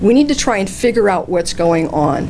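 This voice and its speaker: A woman speaks at a moderate pace with very wide pitch swings. Noticeable background noise runs under her voice. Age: 60s. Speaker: political candidate. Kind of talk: campaign speech. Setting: candidates night at a senior center.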